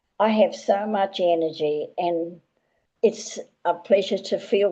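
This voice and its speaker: A woman speaks very slowly with an Australian accent, her voice dark and mellow at a medium pitch. Her pitch varies in an ordinary way. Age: 80s+. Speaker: retired care worker. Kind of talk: testimony. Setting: group call. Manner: halting.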